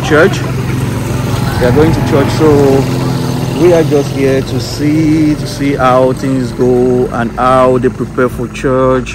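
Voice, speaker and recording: A man talks at a fairly slow pace. The sound is dry with no echo, and there is noticeable background noise. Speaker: travel vlogger. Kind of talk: casual vlog chat. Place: street. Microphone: phone near.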